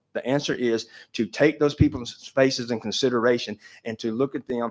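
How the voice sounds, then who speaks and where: A man talks with an Appalachian accent at a moderate pace. The sound is dry and close, with no echo. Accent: Southern US (Appalachian). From North Carolina. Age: 60s. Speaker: public commenter, trail business owner. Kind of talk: public comment at commission meeting.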